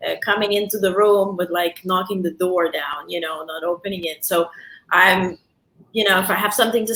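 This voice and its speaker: In a European accent, a woman speaks at a moderate pace. Her pitch is medium and her intonation fairly even. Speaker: talk show host. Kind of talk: interview, casual chat. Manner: loud; direct.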